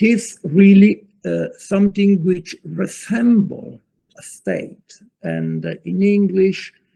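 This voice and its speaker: Someone speaks at a very slow pace with an Italian accent, in a dry, close sound with no echo. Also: man. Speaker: law professor. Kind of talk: lecture. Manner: halting.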